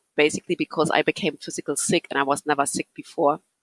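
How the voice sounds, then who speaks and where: A woman speaks with a German accent, the sound dry and close with no echo. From Germany. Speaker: psychotherapist. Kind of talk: interview. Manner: halting.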